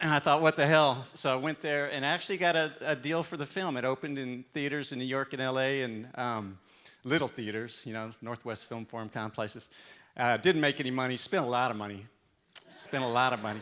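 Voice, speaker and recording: Here a man with a Texan accent talks at a fairly quick pace. His tone is bright and sharp. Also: medium pitch for a man, ordinary pitch variation. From Texas. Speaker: restaurant owner. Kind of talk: live talk. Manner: halting.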